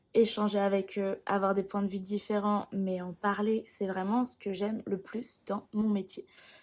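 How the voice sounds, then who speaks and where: Her intonation is flat and monotone. The woman's pitch is medium. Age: 20s. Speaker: music teacher. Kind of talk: personal vlog explanation.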